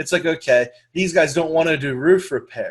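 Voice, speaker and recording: Against a quiet background, a man speaks in a fairly high, somewhat breathy voice with ordinary pitch variation. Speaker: lead generation business trainer. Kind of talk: webinar training presentation. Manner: fast.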